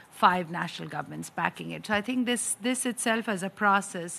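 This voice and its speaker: A woman's voice has a bright, sharp tone. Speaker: UN urban policy official; speaker. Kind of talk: panel talk; panel discussion remarks. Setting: conference room with audience. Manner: hesitant, many fillers. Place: meeting room. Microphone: podium.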